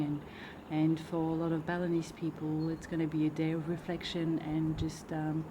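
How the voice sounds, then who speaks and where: A soft-spoken woman with a very deep, low pitch at a moderate pace. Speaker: artist and vlogger. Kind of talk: travel vlog.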